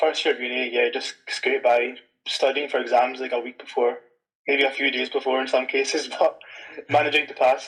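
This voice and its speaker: A man speaks with a Scottish accent. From Scotland. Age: 20s. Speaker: penetration tester. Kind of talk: interview. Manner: casual, many fillers.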